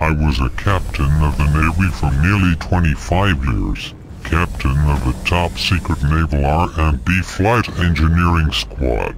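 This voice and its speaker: A put-on character voice at a fairly slow pace, with ordinary pitch variation. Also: man. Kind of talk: in-lore mockumentary testimony. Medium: machinima. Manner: grave, earnest, declamatory.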